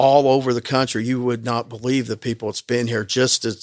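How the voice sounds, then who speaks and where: A man speaks with an American accent at a moderate pace. His medium-pitched voice stays monotone and flat. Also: very clean recording, silent background. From southern Indiana, Bean Blossom. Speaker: bluegrass park and museum owner. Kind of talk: interview. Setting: in a museum.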